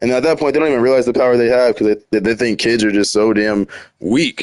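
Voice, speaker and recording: Pitched at medium height, a man talks in an ordinary speaking voice with ordinary pitch variation. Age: 30s. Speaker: video game streamer. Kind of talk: casual live stream commentary while gaming. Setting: live game stream. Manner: casual, rambling with repetitions.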